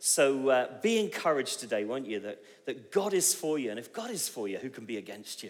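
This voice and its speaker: A man speaks at a medium pitch with very wide swings up and down. The pace is fairly quick, and the room echo is audible. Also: big swings in loudness. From England, Bristol. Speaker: visiting preacher. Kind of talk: sermon. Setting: church.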